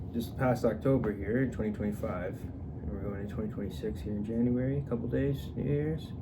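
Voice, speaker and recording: A man's voice with audible room echo. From Atlantic Canada (Newfoundland, Nova Scotia). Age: 20s. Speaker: vlogger. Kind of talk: casual personal monologue. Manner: halting, with many fillers and restarts.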